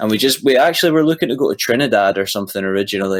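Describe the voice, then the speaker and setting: A man speaks at a fairly low pitch in a Scottish accent. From east coast of Scotland. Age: young. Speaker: musician. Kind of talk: casual chat.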